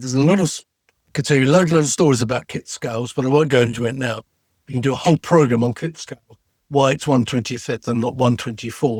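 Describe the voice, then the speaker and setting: A man with an English accent, medium pitch, and a somewhat breathy voice, at a very fast pace with ordinary pitch variation, in a dry, close sound with no echo. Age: 70s. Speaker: retired TV special effects designer. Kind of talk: casual interview.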